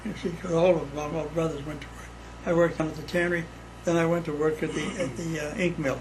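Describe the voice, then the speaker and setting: A high-pitched man with an American accent and fairly even intonation, amid noticeable background noise and audible room echo. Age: 80s+. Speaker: elderly father, World War Two veteran. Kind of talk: casual chat.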